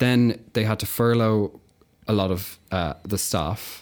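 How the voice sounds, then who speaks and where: In a very clean recording with a silent background, a man with an Irish accent speaks with fairly even intonation. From Ireland, County Kildare. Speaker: agency worker in marketing. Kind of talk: casual chat. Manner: giggly.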